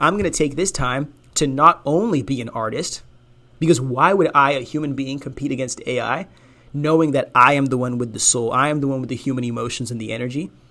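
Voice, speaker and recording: At a fairly quick pace, a man with a fairly high pitch sounds animated, his bright, sharp tone showing ordinary pitch variation. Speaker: podcast host. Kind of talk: casual monologue. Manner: fast.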